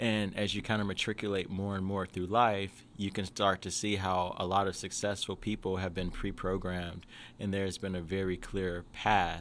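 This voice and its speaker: A man with a very deep, low voice and an American accent talks in a flat monotone at a fairly quick pace, on a very clean recording with a silent background. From US South, Jackson, Mississippi. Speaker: education entrepreneur. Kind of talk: podcast interview. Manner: casual, many fillers.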